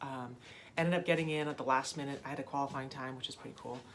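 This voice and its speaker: With an American accent, a woman talks in a very deep, low voice, her intonation fairly even. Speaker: triathlete vlogger. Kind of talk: casual vlog. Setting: home office. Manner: hesitant with fillers.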